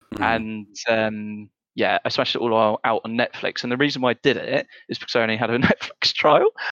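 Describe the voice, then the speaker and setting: A man with a British accent talks at a fairly quick pace. The sound is dry and close, with no echo. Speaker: podcast co-host. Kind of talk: casual chat. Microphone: audio issues in early episodes.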